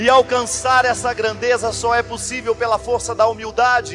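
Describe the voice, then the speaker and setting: A man's extremely high-pitched voice, monotone and flat, at a fairly slow pace over background music. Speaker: priest, religious speaker. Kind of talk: motivational sermon-style reflection.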